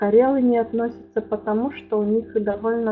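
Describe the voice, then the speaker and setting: Fairly even intonation from a woman at a fairly high pitch and a fairly slow pace. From Udmurtia, Russia. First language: Udmurt (speaking Russian). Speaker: linguist, lecturer. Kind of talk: academic lecture. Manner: halting, many filler sounds.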